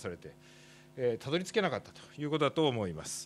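A man's medium-pitched voice over light background noise. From Japan. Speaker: doctor and professor; professor presenting at a workshop. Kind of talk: conference presentation; lecture. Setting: workshop stage with audience. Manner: formal; halting with fillers. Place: hall. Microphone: podium.

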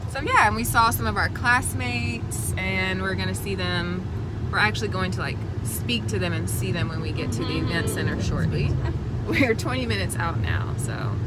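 With loud background noise but a dry sound and no echo, a woman talks at a fairly quick pace. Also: ordinary pitch variation. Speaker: vlogger. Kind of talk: casual vlog chat. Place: car. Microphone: phone near.

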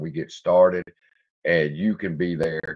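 A man with a Louisiana accent speaks at a very deep, low pitch. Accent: Louisiana Southern US. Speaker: stock market YouTuber. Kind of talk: casual livestream commentary. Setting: home studio livestream. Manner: casual, profane and laughing.

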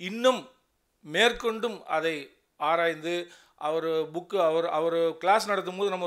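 The background stays quiet. A man talks high in pitch. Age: old. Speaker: journalism graduate, assistant editor. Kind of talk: ceremony speech. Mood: earnest, reflective. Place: hall. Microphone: podium.

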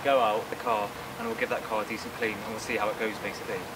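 A man is speaking over loud background noise. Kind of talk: casual vlog chat. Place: street.

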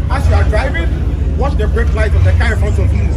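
A man talks at a moderate pace. Crowd noise fills the background. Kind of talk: safety briefing to a crowd. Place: street.

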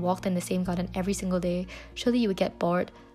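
This woman talks very quickly while music can be heard behind her. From Malaysia. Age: 20s. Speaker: university student. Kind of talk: vlog voiceover narration.

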